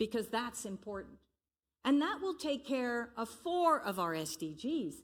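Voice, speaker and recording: A woman with an American accent speaks at a fairly slow pace. Her fairly high pitch makes very wide swings. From Belgium. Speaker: conference speaker on sustainable development. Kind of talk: conference presentation.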